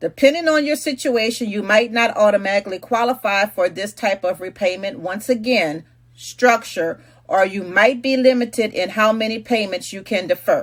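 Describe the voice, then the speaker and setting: Delivered at a moderate pace, this is a plain, everyday voice with ordinary pitch variation. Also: woman, fairly high pitch for a woman. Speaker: realtor. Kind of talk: explainer monologue.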